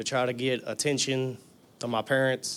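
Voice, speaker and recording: A man talks with a Southern US accent. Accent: US South. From Tennessee. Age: 20s. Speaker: recovering addict. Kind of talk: testimony. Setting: church.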